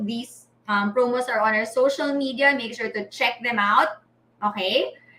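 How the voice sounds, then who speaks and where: A raised, projected voice with lively intonation and a bright, sharp tone. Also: woman. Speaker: livestream host. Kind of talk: live event announcements. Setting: live stream.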